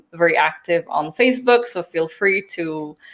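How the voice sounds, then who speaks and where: A woman speaks at a moderate pace with a non-native accent, her pitch fairly low with ordinary variation. The recording is very clean, with a silent background. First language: not English. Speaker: book strategist and author. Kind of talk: live-streamed interview. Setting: live stream.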